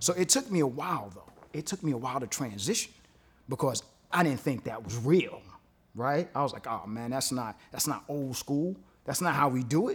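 A man with a New York accent speaks at a moderate pace. His fairly high pitch rises and falls with lively intonation. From Brooklyn, New York. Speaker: DJ. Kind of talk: testimony. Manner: animated.

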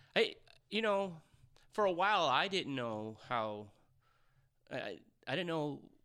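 A man with a bright, sharp tone, very wide pitch swings and a moderate pace, on a very clean recording with a silent background. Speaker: singer, working musician. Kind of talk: casual interview. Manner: halting, stutters.

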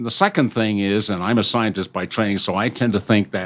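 A man with an American accent and a fairly low pitch, at a fairly quick pace, in a very clean recording with a silent background. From Britain. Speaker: innovation consultant, company CEO. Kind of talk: interview.

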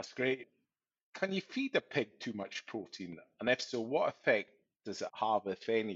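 This man talks with lively intonation at a moderate pace, in a medium pitch. He has a plain, everyday voice. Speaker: podcast host, farm advisor. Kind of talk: interview.

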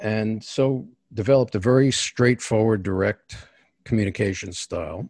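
With a New York accent, this man talks at a moderate pace in a fairly low pitch, his pitch varying in an ordinary way, and the sound is dry and close with no echo. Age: 60s. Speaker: executive coach. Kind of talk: interview. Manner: direct.

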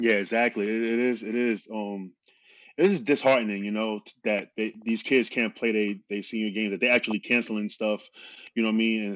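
Speaking at a fairly quick pace, a man keeps a medium pitch and a monotone, flat intonation. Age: 30s. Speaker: podcast host. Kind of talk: casual interview chat.

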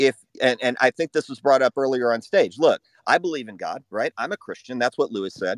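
At a moderate pace, a plain, everyday voice with lively intonation comes through with a dry, close sound and no echo. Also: man. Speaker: former anti-racism activist. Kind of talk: live audio room debate.

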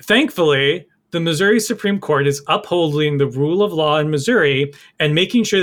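A man with a fairly high pitch talks with lively intonation, in a very clean recording with a silent background. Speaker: podcast co-host. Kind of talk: political commentary podcast chat. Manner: animated, indignant.

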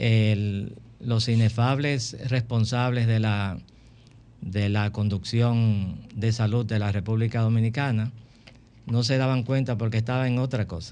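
At a very slow pace, a man speaks at a medium pitch in a dark, mellow tone with fairly even intonation. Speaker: physician, former medical association president. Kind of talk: radio interview.

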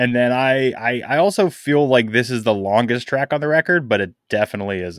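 In an ordinary speaking voice, the speaker goes at a fairly quick pace with hardly any pauses, on a very clean recording with a silent background. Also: man, medium pitch for a man. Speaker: podcast co-host and editor. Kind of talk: casual chat.

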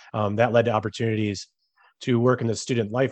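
A man with an American accent speaks fairly quickly at a medium pitch, his intonation monotone and flat, in a dry, close sound with no echo. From Chicago suburbs, Illinois. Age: 30s. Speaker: city council candidate. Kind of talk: interview.

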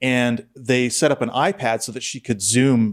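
On a very clean recording with a silent background, a man with an unremarkable speaking voice talks at medium pitch with fairly even intonation. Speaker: podcast host. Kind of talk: casual chat.

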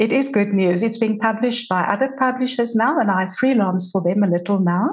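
A woman with a fairly high pitch and a somewhat breathy voice speaks at a fairly quick pace, with very even loudness and ordinary pitch variation. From South Africa. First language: Afrikaans. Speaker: journalist and podcast host. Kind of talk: casual interview chat.

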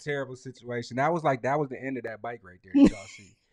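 A man rattles along at a very fast pace, with a quiet background behind him. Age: 30s. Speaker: podcast host. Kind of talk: casual chat. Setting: livestream. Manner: animated.

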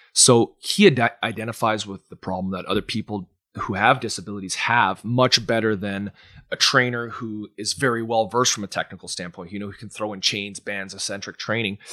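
On a very clean recording with a silent background and a dry, close sound with no echo, a man with a Canadian accent and fairly low pitch speaks at a fairly quick pace with fairly even intonation, a bright, sharp tone, and big swings in loudness. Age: 30s. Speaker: personal trainer and gym owner. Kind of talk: casual interview chat.

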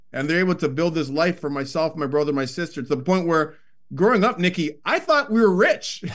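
Talking at a fairly quick pace, a man with a Toronto accent has a high-pitched voice. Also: ordinary pitch variation, quiet background. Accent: Toronto Canadian English. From Canada, Scarborough, Toronto. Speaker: hockey analyst and former player. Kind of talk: casual interview.

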